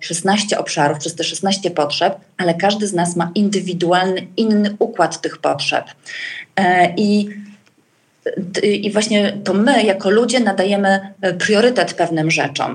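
Medium-pitched, somewhat breathy speech from a woman at a moderate speed. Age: 40s. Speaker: coach and trainer. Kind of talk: podcast interview. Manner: hesitant, many fillers.

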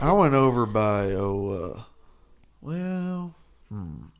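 Recorded with audible room echo, a man with a Texas accent speaks in very wide pitch swings. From Perryton, Texas Panhandle. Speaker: college student, radio station worker. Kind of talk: casual chat.

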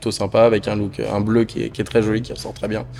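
Noticeable background noise runs under the recording. A man talks with ordinary pitch variation. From northern France. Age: 20s. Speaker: motorcycle dealership manager. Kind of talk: casual interview. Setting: dealership showroom. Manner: hesitant, many fillers.

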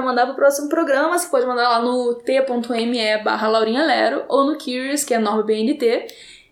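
Her voice sits high in pitch for a woman. The pitch varies in an ordinary way. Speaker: podcast host. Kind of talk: casual chat. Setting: large room with echo.

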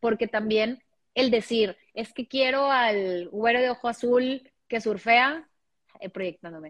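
This woman talks fairly slowly in an unremarkable speaking voice, her pitch varying in an ordinary way. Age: 30s. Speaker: podcaster. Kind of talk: casual chat.

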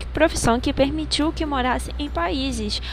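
Audible room echo and noticeable background noise around a woman's fairly slow delivery. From Rio de Janeiro, Brazil. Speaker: student. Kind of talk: school podcast presentation. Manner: reading from a script.

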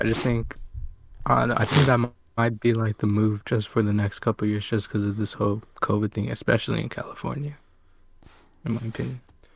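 A man talks at a fairly quick pace, somewhat breathy, with fairly even intonation. Long, frequent pauses break up his speech. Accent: American. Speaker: podcast co-host. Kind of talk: casual chat.

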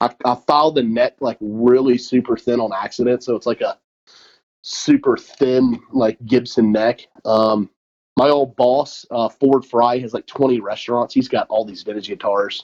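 A man at medium pitch and a fairly slow pace, with fairly even intonation and a dry, close sound with no echo. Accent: Southern US. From US South, Mobile, Alabama. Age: 40s. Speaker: chef and restaurant owner. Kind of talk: casual interview chat.

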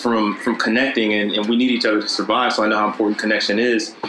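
The man's speech runs fairly quick. Noticeable noise sits behind him. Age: 30s. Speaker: author and entrepreneur. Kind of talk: casual interview chat.

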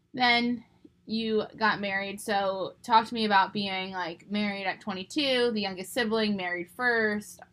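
A woman with an American accent has an ordinary speaking voice at medium pitch. She speaks at a fairly slow pace with fairly even intonation. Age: 20s. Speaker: podcast host. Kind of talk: casual chat.

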